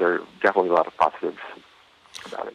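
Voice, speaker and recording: A man talks at a very fast pace. The sound is dry and close with no echo, though noticeable background noise is present. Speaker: comic book artist. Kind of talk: interview answers. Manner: halting, hesitant with filler words.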